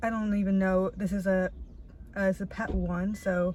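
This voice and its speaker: A woman's voice amid noticeable background noise. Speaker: vlogger. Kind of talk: casual vlog monologue. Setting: outdoors in a parking lot. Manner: animated.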